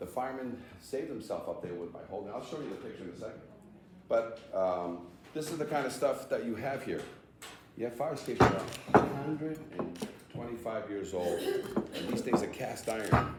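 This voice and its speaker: Amid noticeable background noise and audible room echo, a man with an American accent talks at a moderate pace and medium pitch, with big swings in loudness and long, frequent pauses. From Massachusetts (Somerville, Boston area). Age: 60s. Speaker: fire escape association founder, seminar presenter. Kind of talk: training seminar talk. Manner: conversational, interactive with audience.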